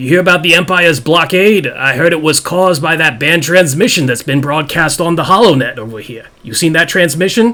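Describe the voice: Using a put-on character voice, a man sounds gruff at a fairly high pitch. He moves at a fairly quick pace with hardly any pauses.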